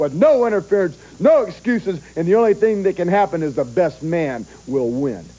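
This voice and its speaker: Speaking at a moderate pace with very wide pitch swings, a man with an American accent is heard over noticeable background noise. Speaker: professional wrestler. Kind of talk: wrestling promo. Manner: intense, threatening.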